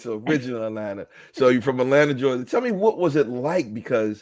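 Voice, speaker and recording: Over a very clean recording with a silent background, a man with a plain, everyday voice and an American accent speaks at a fairly quick pace, with medium pitch and ordinary pitch variation. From US East Coast. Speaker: podcast host. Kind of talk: interview.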